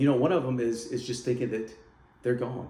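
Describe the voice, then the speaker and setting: A man with a medium-pitched voice sounds somewhat breathy. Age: 60s. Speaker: men's midlife wisdom YouTuber. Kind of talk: casual talk to camera. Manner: conversational, motivational, with hesitations.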